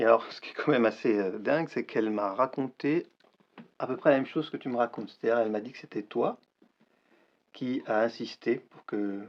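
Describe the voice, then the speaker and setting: Here a man speaks at a fairly quick pace and medium pitch with ordinary pitch variation. Long pauses come often. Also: big swings in loudness. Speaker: actor. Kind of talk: acted dramatic dialogue scene. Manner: agitated, hesitant.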